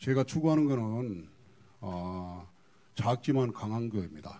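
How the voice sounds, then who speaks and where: Dark and mellow in tone, a man speaks with lively intonation. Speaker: pastor. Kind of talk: seminar case presentation. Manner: fast.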